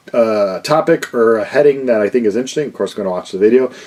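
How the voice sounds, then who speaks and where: Loud and mumbling, a man rushes through his words at a very fast pace in a medium pitch. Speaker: vinyl record YouTuber. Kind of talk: casual vlog Q&A.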